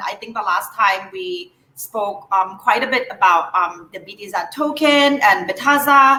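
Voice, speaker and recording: Speaking with a Thai accent, a woman uses a raised, projected voice at a high pitch, with very wide pitch swings and a fairly slow pace. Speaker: moderator of company livestream. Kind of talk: live Q&A moderation. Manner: hesitant, many fillers.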